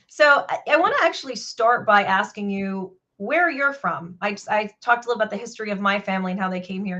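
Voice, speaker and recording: Her pitch runs fairly high. This woman talks very fast. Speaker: podcast host. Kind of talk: interview.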